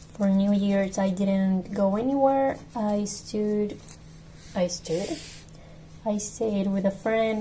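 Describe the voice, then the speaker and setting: At a very slow pace with long, frequent pauses, a woman with a Spanish accent speaks at a medium pitch with fairly even intonation and very even loudness, with audible room echo. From Mexico. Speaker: podcast host. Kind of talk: casual monologue. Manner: casual, self-correcting.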